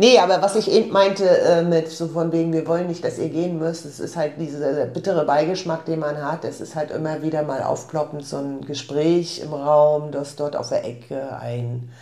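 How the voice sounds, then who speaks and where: A woman speaks at a very deep, low pitch with ordinary pitch variation and a moderate pace. She leaves hardly any pauses, and audible room echo surrounds her voice. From northeastern Germany, Rostock. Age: 50s. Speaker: shop owner. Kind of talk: casual interview. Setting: indoor office.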